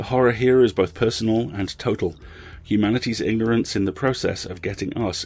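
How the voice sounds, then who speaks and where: Here is a man with a plain, everyday voice pitched fairly low. His pace is fairly quick, with ordinary pitch variation. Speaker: podcast host. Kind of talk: scripted intro and outro, casual commentary.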